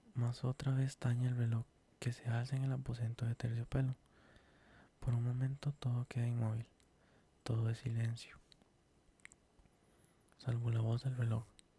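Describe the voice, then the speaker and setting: A dark, mellow, somewhat breathy voice moves at a moderate pace in a flat monotone with very even loudness and long, frequent pauses, the sound dry and close with no echo. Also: man, medium pitch for a man. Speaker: ASMR creator reading stories. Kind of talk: horror story reading for sleep (ASMR).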